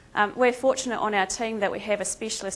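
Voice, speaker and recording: This woman talks at a fairly quick pace with a fairly high pitch. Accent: New Zealand. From Australia. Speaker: veterinary lecturer and emergency responder. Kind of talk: conference presentation. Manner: casual, many filler ums.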